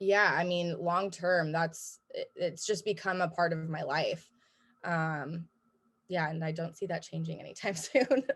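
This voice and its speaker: A woman's fairly low, somewhat breathy voice with an American accent, at a fairly slow pace with ordinary pitch variation. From US Pacific Northwest, Seattle. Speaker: gym member, brewery worker. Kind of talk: interview. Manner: casual, many fillers.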